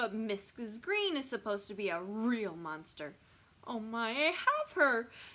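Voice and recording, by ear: The speaker reads aloud in a natural voice, the intonation lively.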